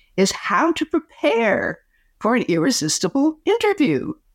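On a very clean recording with a silent background and a dry, close sound with no echo, a woman with an American accent speaks at a moderate pace, her high pitch making very wide swings. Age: 80s+. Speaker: communication coach. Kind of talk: interview. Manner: animated.

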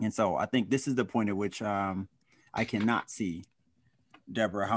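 Over a quiet background, a man with an American accent talks at a fairly quick pace in a fairly low pitch, an ordinary speaking voice. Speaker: panel discussion host. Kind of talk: community panel discussion. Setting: video call.

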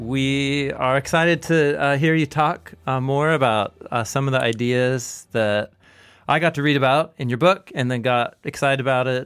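A man talks at a moderate pace in a plain, everyday voice with fairly even intonation. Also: fairly high pitch for a man. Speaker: podcast host. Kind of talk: casual interview.

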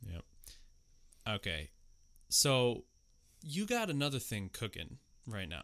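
A man at medium pitch talks fairly slowly with vocal fry, very wide pitch swings, and long, frequent pauses. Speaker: programmer, podcast co-host. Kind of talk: casual chat. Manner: relaxed, mellow.

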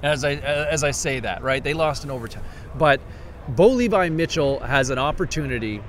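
A man talks at a moderate pace in a fairly high pitch, with ordinary pitch variation and noticeable background noise behind him. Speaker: podcast host. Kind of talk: casual sports chat. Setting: outdoors at practice field.

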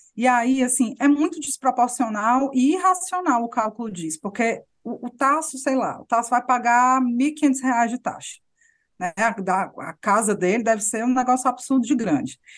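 Against a quiet background, a woman with a high pitch talks at a moderate pace with ordinary pitch variation. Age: young. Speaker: journalist podcast host. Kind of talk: casual political chat.

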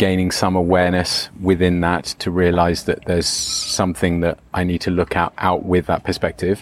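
Here a man speaks at a moderate pace with a very deep, low pitch. His intonation is monotone and flat. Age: 50s. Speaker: retreat leader and coach. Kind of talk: interview.

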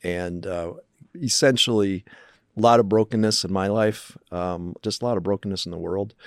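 Speaking with an American accent, a man uses a fairly low pitch, a moderate pace and fairly even intonation, recorded dry and close with no echo, very clean, over a silent background. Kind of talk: interview.

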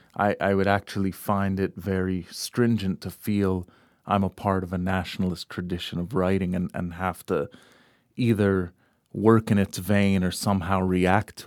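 In a very clean recording with a silent background and a dry, close sound with no echo, a man with an American accent and an ordinary speaking voice talks at a moderate pace and fairly low pitch. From United States, Egyptian parents. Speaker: poet and academic dean. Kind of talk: interview conversation.

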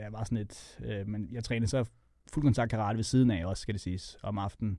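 A man's dark, mellow tone with fairly even intonation over a quiet background. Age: 40s. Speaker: MMA fighter and coach. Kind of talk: casual interview chat.

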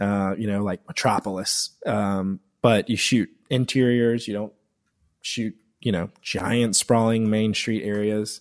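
A man with an American accent and a plain, everyday voice speaks fairly slowly at a fairly low pitch with fairly even intonation, in a dry, close recording without echo and a quiet background. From US South, upstate South Carolina. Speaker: filmmaker. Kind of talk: interview.

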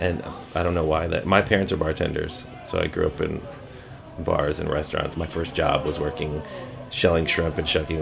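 A man's very deep, low voice with an American accent, moderate pace and fairly even intonation, amid noticeable background noise. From US South, New Orleans. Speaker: food zine co-editor. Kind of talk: interview.

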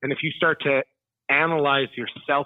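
Speaking in a plain, everyday voice, a man at medium pitch keeps a moderate pace and fairly even intonation. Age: 30s. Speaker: musician and teacher. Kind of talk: interview. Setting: phone call.

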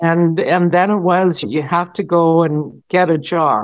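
Here is an unremarkable speaking voice from a woman with a fairly low pitch and ordinary variation. She talks at a fairly slow pace against a quiet background. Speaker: academic and author. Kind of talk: interview recounting her life.

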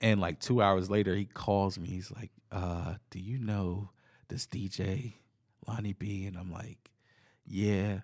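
A man with an ordinary speaking voice, fairly slow and fairly even in intonation, with big swings in loudness, on a very clean recording with a silent background. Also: fairly low pitch for a man. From US South, southern Virginia (South Boston). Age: 30s. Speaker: DJ and music producer. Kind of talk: casual chat. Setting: recorded at a venue, in person.

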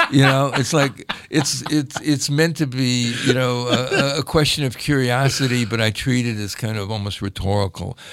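Over noticeable background noise, a man with an American accent speaks at a medium pitch and moderate pace, using ordinary pitch variation. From Cleveland, Ohio. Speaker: archivist and collector. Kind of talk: interview conversation. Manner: hesitant, many fillers.

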